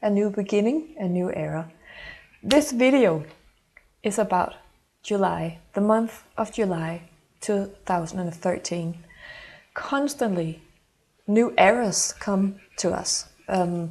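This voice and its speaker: A woman with a Danish accent talks at a very slow pace with long, frequent pauses, lively intonation and medium pitch. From Denmark. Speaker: intuitive mentor. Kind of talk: channeled horoscope monologue. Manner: halting.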